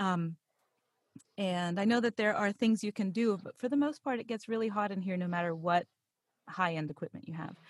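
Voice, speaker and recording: With an American accent, a woman talks at a fairly quick pace in a medium pitch, somewhat breathy, with ordinary pitch variation and a dry, close sound that has no echo. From Pittsburgh, Pennsylvania. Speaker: voice actor and podcast narrator. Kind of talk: interview, conversational.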